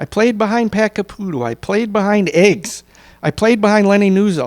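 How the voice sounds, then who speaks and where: A man with a high pitch and ordinary pitch variation talks at a moderate pace, recorded very cleanly with a silent background and a dry, close sound with no echo. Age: 50s. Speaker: senior softball player. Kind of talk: interview. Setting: at an event with audience.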